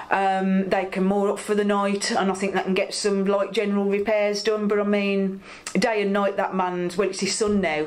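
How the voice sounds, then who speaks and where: Over noticeable background noise, the speech moves at a moderate pace with hardly any pauses and a monotone, flat intonation. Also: woman, medium pitch for a woman. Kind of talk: oral history interview answer.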